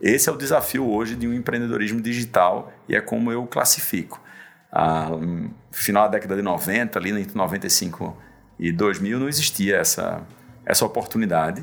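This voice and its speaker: With noticeable background noise, a man speaks using ordinary pitch variation. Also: medium pitch for a man, moderate pace. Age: 40s. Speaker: tech entrepreneur and investor. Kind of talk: interview.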